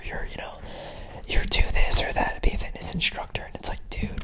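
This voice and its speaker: Someone whispers while clear background noise carries on. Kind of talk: whispered ASMR ramble to camera. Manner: whispered, casual, chatty.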